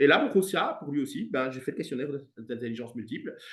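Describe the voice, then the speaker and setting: A man talks at a fairly quick clip with a somewhat breathy voice. His pitch swings very widely. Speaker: music teacher and coach. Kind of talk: interview. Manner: fast.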